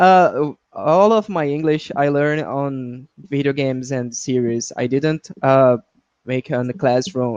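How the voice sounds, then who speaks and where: The speaker has a Portuguese accent and keeps a fairly slow pace. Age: 20s. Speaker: English student. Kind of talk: online language lesson. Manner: halting.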